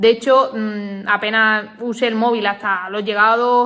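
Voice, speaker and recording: A woman speaks at a fairly high pitch with a bright, sharp tone and fairly even intonation. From Andalusia, Cádiz province (Olvera). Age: 20s. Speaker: fitness coach. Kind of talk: personal story to camera. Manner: casual, with many fillers.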